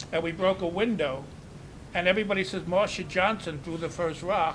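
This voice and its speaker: Noticeable background noise runs behind a man with a high pitch. He talks at a fairly quick pace with ordinary pitch variation. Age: 80s+. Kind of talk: interview.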